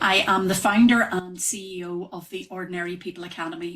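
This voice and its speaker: This woman has a Northern Irish accent. Her pitch is medium. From Northern Ireland. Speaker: wellness trainer, yoga and breathwork teacher. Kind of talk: podcast interview. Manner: hesitant, many fillers.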